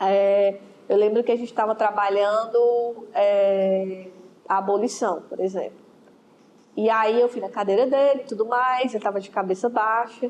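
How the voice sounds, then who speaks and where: This is an ordinary speaking voice from a woman, fairly high in pitch. Her intonation stays fairly even. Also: fairly slow pace. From Ceará, Brazil. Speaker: school history teacher. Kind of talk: interview.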